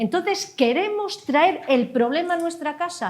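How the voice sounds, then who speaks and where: Her pitch moves in very wide swings. The woman keeps a fairly slow pace. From Asturias, Langreo. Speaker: lawyer, debate panelist. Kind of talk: heated debate. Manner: animated.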